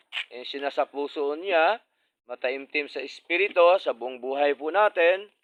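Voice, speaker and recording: He talks with ordinary pitch variation at a moderate pace. The man has an unremarkable speaking voice. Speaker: preacher. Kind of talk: sermon. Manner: formal; earnest.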